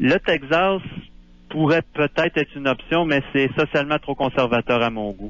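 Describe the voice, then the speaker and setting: This man has a fairly high pitch and a normal speaking voice. He speaks at a moderate pace with ordinary pitch variation. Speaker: Quebec expat, libertarian writer. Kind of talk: radio phone interview.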